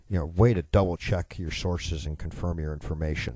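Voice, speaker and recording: A man speaks with an American accent at a moderate pace, his pitch very deep and low. His dark, mellow tone is somewhat breathy, and the background is quiet. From US Midwest, Chicago. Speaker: radio talk show host. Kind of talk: political talk radio monologue. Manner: sarcastic.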